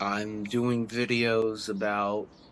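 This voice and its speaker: The man's voice is medium in pitch, and his intonation is fairly even. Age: 40s. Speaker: motorcycle vlogger. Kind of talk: personal account to camera.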